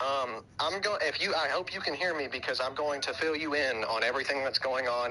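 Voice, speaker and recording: A man with a Southern US accent, fairly high in pitch, very fast, with ordinary pitch variation. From US South. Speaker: gaming streamer. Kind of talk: casual chat.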